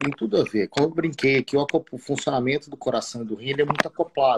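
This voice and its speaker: Very fast speech with big swings in loudness, ordinary pitch variation, noticeable background noise and a dry, close sound free of echo. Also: man, fairly high pitch for a man. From Espírito Santo, Brazil (Marataízes). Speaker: cardiologist. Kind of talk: live stream medical conversation. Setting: online live stream.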